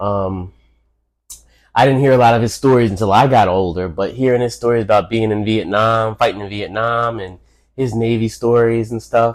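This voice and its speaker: A man talks with a New York accent at a moderate pace. His pitch is medium and his intonation fairly even. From New York City. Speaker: host's father, podcast guest. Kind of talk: casual interview. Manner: halting, repeats words.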